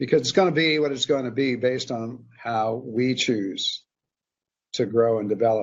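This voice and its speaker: Here is a plain, everyday voice. It moves at a moderate pace. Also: man, medium pitch for a man, ordinary pitch variation. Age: 60s. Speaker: spiritual teacher. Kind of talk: interview conversation.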